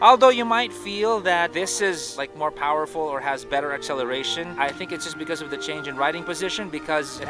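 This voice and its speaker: Against clear music in the background, a man talks at a moderate pace in a dry sound with no echo. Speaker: motorcycle reviewer. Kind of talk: product review commentary. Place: street.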